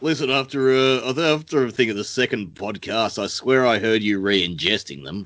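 Lively intonation marks this man's speech in an Australian accent. He keeps a moderate pace with hardly any pauses. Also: medium pitch for a man. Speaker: podcast host. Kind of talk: casual chat.

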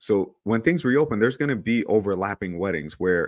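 A plain, everyday voice with an American accent moves at a moderate pace. Its intonation is lively, and the background is quiet. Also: man. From New York. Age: 30s. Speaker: photographer. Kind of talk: casual chat.

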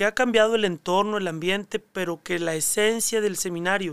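A man is heard in a very clean recording with a silent background and dry, close sound that has no echo. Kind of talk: casual interview.

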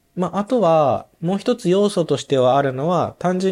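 A man speaks at a high pitch with ordinary pitch variation. The recording is very clean, with a silent background. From Japan, Nagoya. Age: 30s. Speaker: orthopedic shoemaker apprentice. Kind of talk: casual chat.

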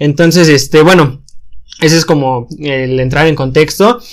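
A man with a fairly high pitch and an unremarkable speaking voice talks at a moderate pace with ordinary pitch variation. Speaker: podcast host; engineering student. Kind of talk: casual chat.

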